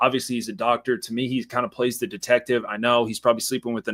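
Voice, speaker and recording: A man with a medium-pitched voice speaks in an animated tone. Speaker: horror movie podcast host. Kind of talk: casual chat. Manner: loud.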